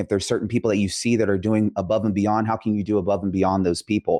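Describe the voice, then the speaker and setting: With a Californian accent, a man speaks at a fairly low pitch and with fairly even intonation, the sound dry and close with no echo against a quiet background. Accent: Californian American English. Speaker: tax strategist. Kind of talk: interview conversation.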